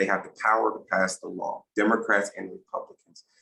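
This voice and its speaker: Fairly quick speech from a man with an American accent. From South Carolina, Bamberg. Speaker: activist. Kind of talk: talk to church adult class. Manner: conversational, many fillers.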